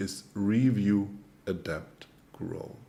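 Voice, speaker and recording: This man speaks with a German accent. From Germany. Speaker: trading coach. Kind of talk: webinar presentation. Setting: online webinar.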